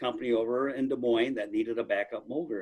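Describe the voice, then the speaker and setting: The voice carries an American accent. Its pitch variation is ordinary. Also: man. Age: 60s. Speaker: manufacturing company executive. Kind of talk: podcast interview. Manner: halting, repeats words.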